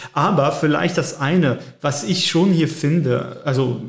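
Ordinary pitch variation runs through a man's fairly high voice. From French-speaking Switzerland. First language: French (speaking German). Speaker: theologian. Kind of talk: casual chat. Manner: halting.

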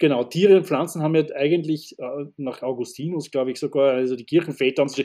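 Over a very clean recording with a silent background, a man talks very fast at a fairly high pitch, his tone dark and mellow, with ordinary pitch variation. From Austria, Styria. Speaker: landscape gardener and dowser. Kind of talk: interview conversation. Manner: hesitant, many filler sounds.

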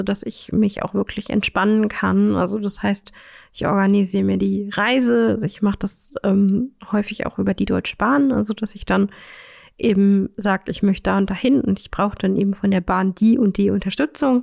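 At a moderate pace, a woman with a plain, everyday voice speaks at a medium pitch with ordinary pitch variation, the sound dry and close with no echo. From Saxony-Anhalt, Magdeburg. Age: 30s. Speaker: counselor for blind people. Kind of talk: casual interview.

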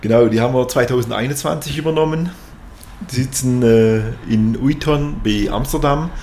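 Over noticeable background noise and audible room echo, a man speaks fairly slowly at a medium pitch, with ordinary pitch variation and very even loudness. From Swabia, southern Germany (near Tuttlingen). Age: 50s. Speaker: company executive. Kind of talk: interview.

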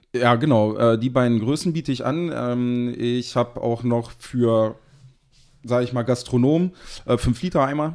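On a very clean recording with a silent background, a man speaks in a normal speaking voice at medium pitch, with ordinary pitch variation and a fairly slow pace. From Harz region, Lower Saxony, Germany (Seesen). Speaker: sauce producer and caterer. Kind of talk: casual interview chat.

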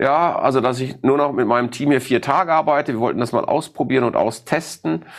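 A fairly quick voice with very even loudness, ordinary pitch variation and hardly any pauses. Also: man, medium pitch for a man. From Ruhr area, Germany. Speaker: sales expert. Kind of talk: interview. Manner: direct.

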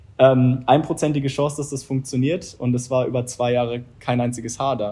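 A somewhat breathy man's voice at medium pitch with a dark, mellow tone. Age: 20s. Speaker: entrepreneur and former handball player. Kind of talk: interview.

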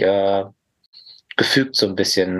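A man with a fairly low pitch at a moderate pace. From Lower Rhine region, Germany (Mönchengladbach/Neuss). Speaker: therapist. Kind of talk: casual interview.

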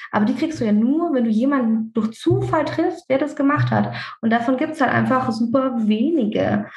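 A woman's high-pitched voice at very even loudness. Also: ordinary pitch variation, moderate pace. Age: 30s. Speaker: dentist and practice owner. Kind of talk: podcast interview. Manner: talkative.

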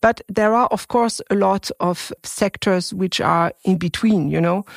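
Speaking with a French accent, a woman is heard in a very clean recording with a silent background. The sound is dry and close, with no echo. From France. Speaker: venture capital fund manager. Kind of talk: interview. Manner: halting.

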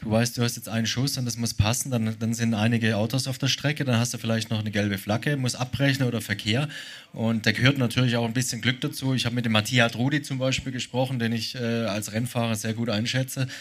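The man speaks at a very fast pace. His intonation is monotone and flat. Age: 40s. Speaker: racing driver. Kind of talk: casual chat. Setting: stage with audience.

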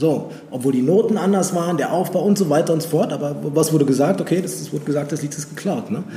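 With noticeable background noise, a man with a fairly high pitch talks very fast with hardly any pauses and ordinary pitch variation. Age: 30s. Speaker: fashion blogger and former footballer. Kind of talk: casual chat.

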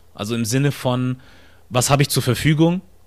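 Here a man speaks in an ordinary speaking voice at a moderate pace and medium pitch, on a very clean recording with a silent background. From southern Germany, near Stuttgart. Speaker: podcaster and content creator. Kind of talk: interview conversation.

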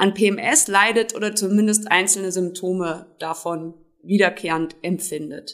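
With a plain, everyday voice, a woman speaks at a moderate pace in a medium pitch with ordinary pitch variation. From Germany, Trier (Rhineland-Palatinate). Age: 30s. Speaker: self-help group founder. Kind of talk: interview.

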